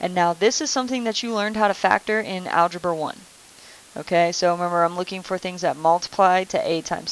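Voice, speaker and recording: The speaker has a plain, everyday voice with ordinary pitch variation. The pace is fairly quick. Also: woman. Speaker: math teacher. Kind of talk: recorded lesson tutorial.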